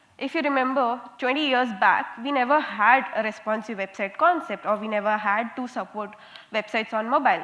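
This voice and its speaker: A woman's high-pitched voice with an Indian accent, fairly quick pace and ordinary pitch variation over noticeable background noise. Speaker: conference speaker, software quality analyst. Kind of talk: conference talk. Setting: stage with audience. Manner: interactive, lively.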